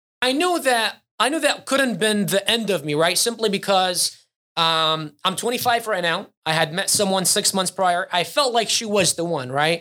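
On a very clean recording with a silent background, a man projects a raised, bright, sharp voice at a high pitch, with lively intonation and a moderate pace. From Iraq. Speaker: Amazon seller and coach. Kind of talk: casual interview.

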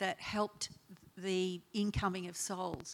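A woman speaks with an Australian accent. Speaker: church founding member, retired nurse. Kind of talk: testimony.

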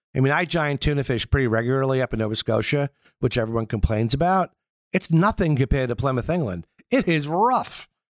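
On a very clean recording with a silent background and a dry, close sound with no echo, a man with a strong Long Island accent talks at a very fast pace in a medium pitch with lively intonation. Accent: strong Long Island New York. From Long Island, New York. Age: 50s. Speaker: yacht broker. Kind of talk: casual interview chat.

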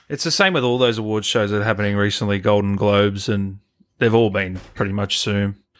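A man with an Australian accent talks at a fairly quick pace in a fairly low pitch. His intonation stays fairly even. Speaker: gaming channel host. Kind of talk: casual interview. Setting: video call. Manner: casual.

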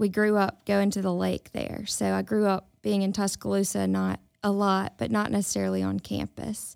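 In a very clean recording with a silent background, a woman with a Mississippi accent talks at a moderate pace. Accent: US Southern (Mississippi). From Mississippi Delta (Indianola). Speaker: university extension specialist in health. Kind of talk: casual interview. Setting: studio.

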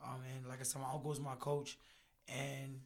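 A somewhat breathy man's voice at a fairly high pitch. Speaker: boxer. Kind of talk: casual banter.

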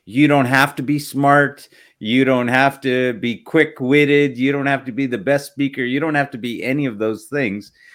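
Recorded very cleanly against a silent background, a man with an unremarkable speaking voice talks at a medium pitch and moderate pace, with fairly even intonation and hardly any pauses. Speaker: podcast host. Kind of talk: interview, casual conversation.

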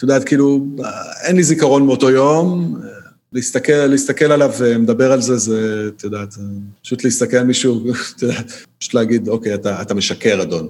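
Speaking at a fairly quick pace, a man leaves long, frequent pauses. His pitch is medium, with ordinary variation. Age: 30s. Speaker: podcast guest, documentary viewer. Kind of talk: casual chat. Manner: halting, repeats words.

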